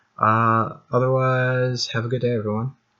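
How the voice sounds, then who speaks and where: Mumbling at a fairly slow pace, a man has a bright, sharp tone. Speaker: amateur tech video maker. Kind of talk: tutorial. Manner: halting, many fillers.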